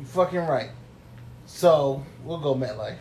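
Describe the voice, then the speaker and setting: With an American accent, a man talks amid noticeable background noise and audible room echo. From New York. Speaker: podcast co-host. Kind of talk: casual chat.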